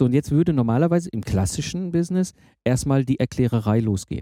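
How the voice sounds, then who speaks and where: A man speaks very fast in a dark, mellow tone at a medium pitch with very wide pitch swings, recorded very cleanly against a silent background with a dry, close sound and no echo. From Germany, Ruhr area (Herdecke). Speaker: podcast host. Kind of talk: interview conversation.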